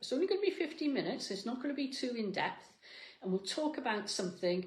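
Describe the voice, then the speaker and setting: An animated, somewhat breathy woman's voice with very wide pitch swings. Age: 60s. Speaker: fitness coach. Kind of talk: motivational talk. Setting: cafe.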